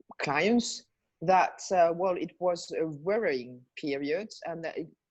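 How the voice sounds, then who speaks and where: With lively intonation and an animated tone, a woman speaks against a quiet background. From Belgium. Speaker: life and business coach. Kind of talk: interview. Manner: animated, many hesitations and repetitions.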